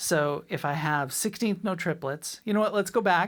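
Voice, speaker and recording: A woman with a Boston accent talks at a moderate pace, her pitch varying in an ordinary way. The recording is very clean, with a silent background. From Boston, US. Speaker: drum teacher. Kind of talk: tutorial. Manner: clipped, abbreviated words.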